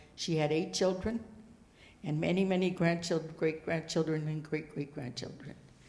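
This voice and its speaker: Speaking with an American accent and fairly even intonation, the voice carries audible room echo. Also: woman. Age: 80s+. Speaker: Native elder. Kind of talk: land acknowledgment talk. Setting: stage with audience. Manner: halting.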